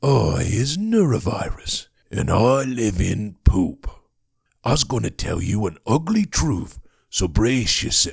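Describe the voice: Using a put-on character voice, a man speaks at a fairly slow pace and a medium pitch.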